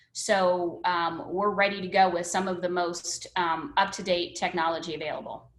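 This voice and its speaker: A woman's fairly low voice with an American accent, fairly even intonation, a moderate pace and hardly any pauses, over noticeable background noise. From northern US. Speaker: education services presenter. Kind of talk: webinar presentation. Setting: video call.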